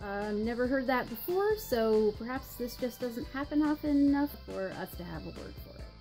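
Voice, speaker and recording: With an American accent, a woman speaks at a moderate pace with hardly any pauses and big swings in loudness. Faint music plays in the background. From North Carolina, US. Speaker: vlogger. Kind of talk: accent tag video, casual talk to camera. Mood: light, amused. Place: home room. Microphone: webcam.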